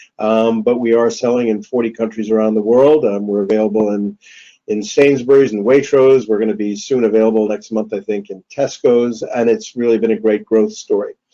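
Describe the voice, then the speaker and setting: With a New York accent, a man speaks at a fairly quick pace in a dark, mellow tone, medium pitch and monotone, flat intonation. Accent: New York American. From US, New York City. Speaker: whisky distillery founder. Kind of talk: webinar talk. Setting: online webinar. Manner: halting, many fillers.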